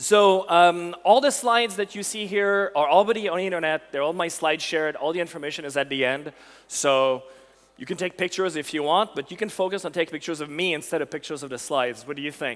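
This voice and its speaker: A high-pitched man at a very fast pace, animated in tone, with ordinary pitch variation. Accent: Quebec. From Quebec. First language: French. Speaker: technical evangelist. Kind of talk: conference tech talk. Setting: stage with audience.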